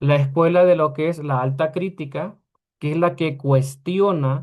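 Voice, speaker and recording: Against a quiet background, a man speaks with a normal speaking voice. His pitch is fairly high and varies in an ordinary way. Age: 40s. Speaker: Bible teacher. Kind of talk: lecture.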